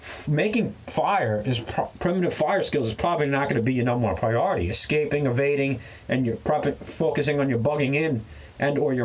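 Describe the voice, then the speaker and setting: Somewhat breathy and fairly high-pitched, a man's voice carries lively intonation. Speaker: prepping and survival YouTuber. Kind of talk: casual rant to camera. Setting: outdoors in the back of a truck. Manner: fast; animated.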